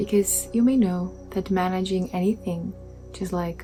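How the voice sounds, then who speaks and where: Music can be heard behind the speech. The woman is soft-spoken and goes at a fairly slow pace. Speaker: meditation guide. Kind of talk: guided meditation.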